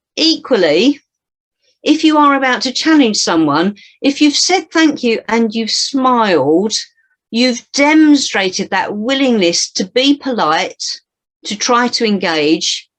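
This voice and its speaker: A woman's high voice with very wide pitch swings at a fairly slow pace. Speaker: public speaking trainer. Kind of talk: workshop presentation.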